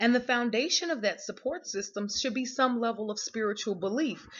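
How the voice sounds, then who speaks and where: Speaking at a moderate pace with an American accent, a woman has a fairly high pitch and ordinary pitch variation. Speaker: vlogger. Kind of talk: unscripted monologue. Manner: unrehearsed, halting.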